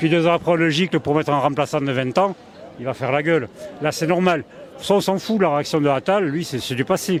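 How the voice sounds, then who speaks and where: There is noticeable background noise as a man with a fairly high pitch speaks. His pace is fairly quick, and his pitch varies in an ordinary way. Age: 60s. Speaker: street interviewee. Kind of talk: vox pop interview. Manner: animated.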